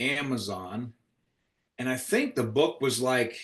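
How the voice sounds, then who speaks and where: Medium-pitched, a man speaks. His tone is animated. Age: 60s. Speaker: podcast co-host, insurance agent. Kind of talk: casual chat.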